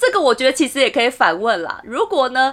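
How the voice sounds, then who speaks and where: Her voice is high-pitched and swings very widely in pitch. Noticeable background noise sits behind the woman. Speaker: podcast host. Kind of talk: casual solo podcast talk.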